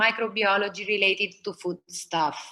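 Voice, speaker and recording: A woman in an Italian accent, bright and sharp in tone, at a moderate pace. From Italy (Rome). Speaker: food designer. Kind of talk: presentation.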